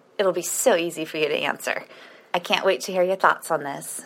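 This is a plain, everyday voice. It has ordinary pitch variation and a moderate pace. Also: woman. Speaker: listener with chronic illness. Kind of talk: recorded voice question.

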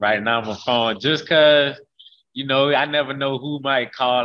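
A man with an American accent and an ordinary speaking voice talks at a moderate pace with ordinary pitch variation. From Haines City, Polk County, Florida. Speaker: college football player, NFL prospect. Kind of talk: interview.

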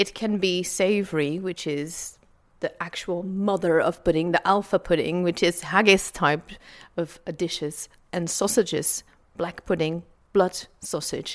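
Recorded very cleanly against a silent background, a woman with a Dutch accent speaks fairly slowly at a fairly low pitch with fairly even intonation. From Flanders, Belgium. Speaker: food historian and author. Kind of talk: interview.

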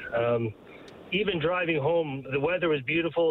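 A man talks in a normal speaking voice at a fairly high pitch. His pitch varies ordinarily, and the pace is moderate. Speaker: caller. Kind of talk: casual phone-in comment. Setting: phone call.

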